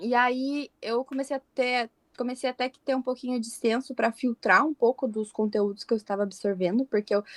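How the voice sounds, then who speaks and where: Recorded very cleanly with a silent background and a dry, close sound with no echo, a woman speaks at a high pitch and a fairly quick pace with ordinary pitch variation. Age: 20s. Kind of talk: podcast interview.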